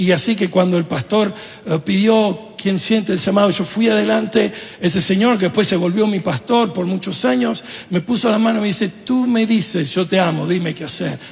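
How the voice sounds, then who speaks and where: A man with an Argentine accent at a high pitch, over noticeable background noise. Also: ordinary pitch variation, moderate pace. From Venezuela, Italy and Argentina. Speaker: pastor. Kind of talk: sermon.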